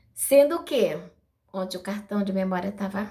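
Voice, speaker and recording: A woman's fairly high voice carries lively intonation against noticeable background noise. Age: 60s. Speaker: video blogger sharing spiritual experiences. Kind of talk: personal testimony to camera. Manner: casual, chatty.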